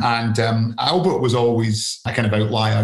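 The voice is somewhat breathy. It carries a Scottish accent. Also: man. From Scotland. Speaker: investment fund founder and author. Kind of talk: casual interview.

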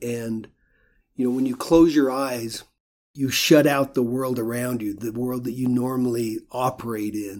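A normal speaking voice from a man with an American accent, medium in pitch, at a fairly slow pace with fairly even intonation. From US West, rural Idaho. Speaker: painter. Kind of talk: interview. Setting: office studio.

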